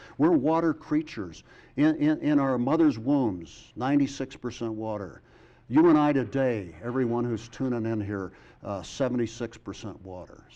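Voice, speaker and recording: A man with a General American accent speaks at a medium pitch and a moderate pace, his dark, mellow tone carrying lively intonation and big swings in loudness. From US (Air Force family, moved around). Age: 60s. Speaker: supreme court justice and poet. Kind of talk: interview. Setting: studio. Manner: animated.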